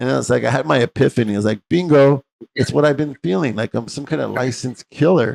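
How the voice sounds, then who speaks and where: With an American accent and vocal fry, a man speaks at a very fast pace with ordinary pitch variation in a dry, close sound with no echo. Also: medium pitch for a man. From US West, East Los Angeles. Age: 60s. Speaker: medical doctor and interview host. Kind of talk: interview, personal story.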